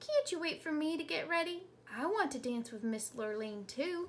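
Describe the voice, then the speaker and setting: A woman puts on a squeaky character voice, high-pitched with very wide pitch swings, at a moderate pace over clear background noise. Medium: read story. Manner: humble, folksy.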